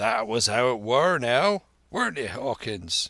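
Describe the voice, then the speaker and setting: In a put-on character voice, a raspy man at medium pitch swings his pitch very widely, talking at a fairly slow pace with a dry, close sound and no echo. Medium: read story. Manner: hearty, folksy.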